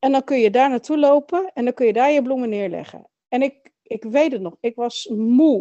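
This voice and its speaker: A woman's high-pitched voice at a moderate pace, with ordinary pitch variation and hardly any pauses. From Netherlands. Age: 40s. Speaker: adoptee sharing her story. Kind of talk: interview testimony.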